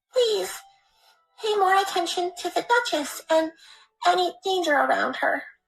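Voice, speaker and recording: A woman's put-on character voice, squeaky and extremely high, with ordinary pitch variation, a moderate pace, long, frequent pauses, and music in the background. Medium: read story. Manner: emotional, self-deprecating.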